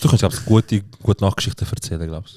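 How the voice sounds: At a fairly quick pace, a man speaks at a low pitch in a slightly mellow tone with ordinary pitch variation.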